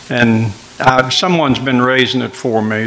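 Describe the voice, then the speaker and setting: Over noticeable background noise, a man with an Appalachian accent talks at a medium pitch with ordinary pitch variation. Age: 80s+. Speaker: miller. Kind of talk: interview.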